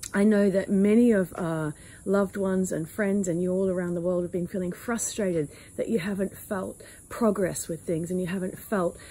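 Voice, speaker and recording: A woman speaks at a moderate pace with a medium pitch, fairly even intonation, a dark, mellow tone and a somewhat breathy quality, on a very clean recording with a silent background. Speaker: spiritual channeler. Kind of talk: personal reflection talk. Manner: halting, with fillers.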